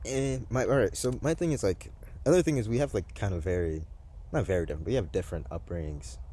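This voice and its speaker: A man with an American accent talks at a very fast pace, his very deep, low voice showing a dark, mellow tone and vocal fry. His pitch swings very widely. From US, Massachusetts, Haitian family. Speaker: paranormal video host. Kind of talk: casual chat. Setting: outdoors in a swamp at night.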